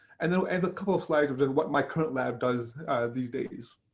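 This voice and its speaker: This man speaks very rapidly. The rise and fall of his voice is ordinary. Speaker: neuroscience professor. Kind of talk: lecture. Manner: halting.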